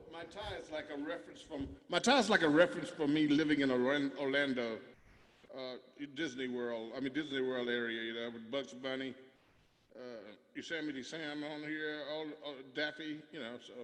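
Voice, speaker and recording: A man speaks at a fairly high pitch. His pace is moderate and his pitch varies in an ordinary way. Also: big swings in loudness. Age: 60s. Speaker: musician performing live concert. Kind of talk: casual chat. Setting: video call. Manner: halting.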